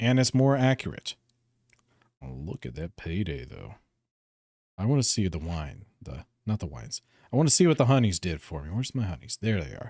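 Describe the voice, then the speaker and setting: A man with a relaxed tone talks at a fairly low pitch and a fairly quick pace, with very wide pitch swings and big swings in loudness. Long, frequent pauses break up his speech, and the sound is dry and close with no echo. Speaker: live-streaming gamer. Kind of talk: casual live gaming stream with chat reading. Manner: relaxed, chatty.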